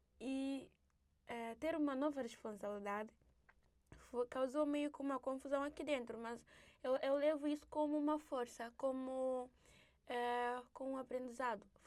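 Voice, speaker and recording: Slowing to a fairly slow pace with long, frequent pauses, a woman with a Guinea-Bissau accent speaks at a high pitch with fairly even intonation. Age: 20s. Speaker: children's rights activist. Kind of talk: interview testimony. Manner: halting.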